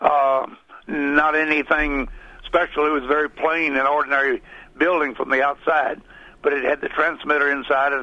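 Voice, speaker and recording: Speaking with a Southern US accent, a man talks at a moderate pace with a fairly high pitch. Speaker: former radio broadcaster and local politician. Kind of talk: casual radio interview. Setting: studio.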